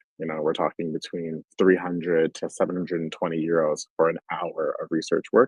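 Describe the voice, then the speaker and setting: A man speaks with an American accent at a fairly quick pace. He leaves hardly any pauses. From US, Washington D.C. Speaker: UX research leader. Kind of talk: conference talk.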